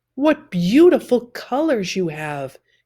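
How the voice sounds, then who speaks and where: On a very clean recording with a silent background, a put-on character voice at a fairly high pitch moves at a fairly slow pace with very wide pitch swings. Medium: read story.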